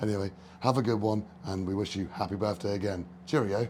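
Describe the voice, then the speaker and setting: A man with a British accent talks at a fairly quick pace in a fairly low, somewhat breathy voice. His intonation stays fairly even. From UK. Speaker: YouTube tool reviewer. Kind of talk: recorded greeting message.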